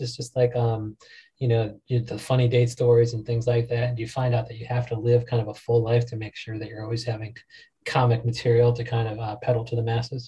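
Speaking at a fairly quick pace, a man with an American accent has a dark, mellow, somewhat breathy tone at a medium pitch. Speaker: podcast host. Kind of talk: casual, profane.

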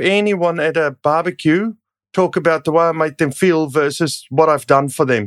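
In a very clean recording with a silent background and a dry, close sound with no echo, a man speaks at a fairly high pitch with ordinary pitch variation. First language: not English. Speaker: podcast co-host, mortgage broker. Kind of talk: casual chat.

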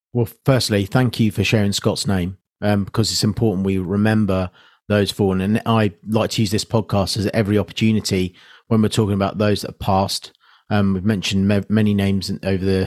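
Monotone and flat, a man with a British accent speaks at a fairly quick pace and fairly low pitch, on a very clean recording with a silent background and a dry, close sound with no echo. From UK. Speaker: podcast host and military veteran. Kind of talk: interview.

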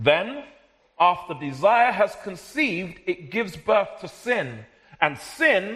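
A man with a South London accent talks very slowly in a high voice. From South London, Jamaican heritage. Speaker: preacher. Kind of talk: sermon.

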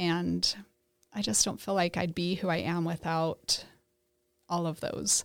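On a very clean recording with a silent background, a woman speaks with a fairly low pitch. Her pace is fairly slow, and she takes long, frequent pauses. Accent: American. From Idaho, US. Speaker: church member sharing faith story. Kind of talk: casual interview, faith testimony.

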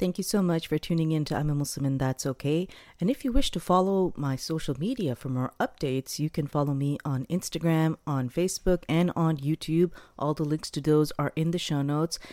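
A woman speaks at a fairly quick pace with a very deep, low pitch and a dark, mellow tone. Her pitch varies in an ordinary way, and the very clean recording has a dry, close sound with no echo and a silent background. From South Asia. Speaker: podcast host. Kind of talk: scripted outro; casual interview chat.

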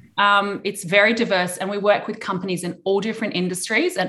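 A woman speaks with an Australian accent and a bright, sharp tone. The background is quiet. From Adelaide, South Australia. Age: 30s. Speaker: investor relations firm founder. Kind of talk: interview. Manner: relaxed; hesitant with many fillers.

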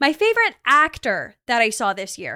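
In an American accent, the speaker uses a raised, projected voice with a bright, sharp tone and very wide pitch swings. The recording is very clean with a silent background and a dry, close sound with no echo. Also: woman. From Texas. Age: 20s. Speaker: podcast host. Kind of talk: casual chat. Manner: animated.

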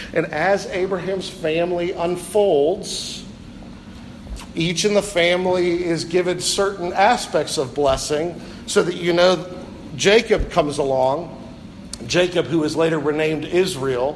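With an American accent, a man speaks at a high pitch and fairly slow pace with fairly even intonation. Audible room echo and noticeable background noise surround him. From US Midwest (northern Ohio). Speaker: pastor. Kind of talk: sermon.

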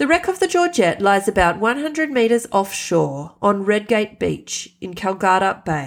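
This woman speaks at medium pitch with an Australian accent, her pitch swinging very widely. She keeps a moderate pace and hardly pauses. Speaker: podcast host and storyteller. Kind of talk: storytelling narration.

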